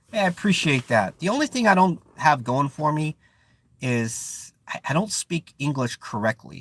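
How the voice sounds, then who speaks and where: With an American accent and lively intonation, a man speaks at a moderate pace in a dry, close sound with no echo, on a very clean recording with a silent background. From Oakland, California. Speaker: live stream host and counselor. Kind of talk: casual live stream chat. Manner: searches for words, some hesitation.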